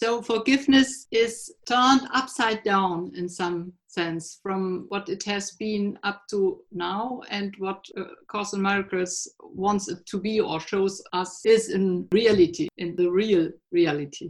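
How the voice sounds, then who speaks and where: In a German accent, a woman speaks very slowly at a medium pitch with ordinary pitch variation and hardly any pauses. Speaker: podcast host. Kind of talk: interview. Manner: halting.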